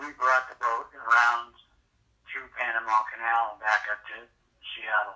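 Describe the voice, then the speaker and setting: The speaker, in an American accent, talks at a fairly slow pace with monotone, flat intonation. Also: man. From US Pacific Northwest, Tacoma, Washington. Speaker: coast guard veteran recounting his life. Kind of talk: life story interview. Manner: halting, with fillers and repeats.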